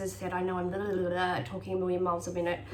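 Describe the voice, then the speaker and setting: Background noise is noticeable. The room echo is audible too. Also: woman. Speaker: health vlogger sharing personal remedies. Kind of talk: casual tutorial monologue. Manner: fast; hesitant, many fillers.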